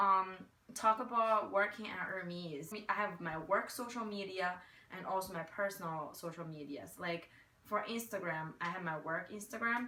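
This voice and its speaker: Audible room echo surrounds a woman speaking with a Chinese accent. Her pace is moderate and her pitch variation ordinary. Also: medium pitch for a woman. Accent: Chinese-accented American English. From China. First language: Mandarin Chinese. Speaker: retail worker and marketing graduate. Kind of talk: interview answers. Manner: hesitant, many fillers.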